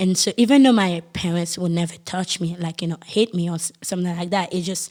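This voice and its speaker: In a Haitian accent, a woman with a fairly low pitch and ordinary pitch variation talks at a very fast pace. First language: Haitian Creole. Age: 20s. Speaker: podcast guest. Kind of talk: testimony. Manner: halting.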